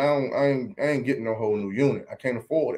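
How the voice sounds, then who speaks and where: With an American accent, a man with an ordinary speaking voice talks at a medium pitch and a fairly quick pace. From Maryland, Washington DC area. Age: 30s. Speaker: barbershop owner and barbecue caterer. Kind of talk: casual interview chat. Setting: studio.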